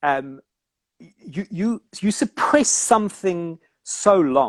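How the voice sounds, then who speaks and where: A man's high voice in a South African accent, very slow, with very wide pitch swings and a dry, close sound with no echo. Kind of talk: casual chat.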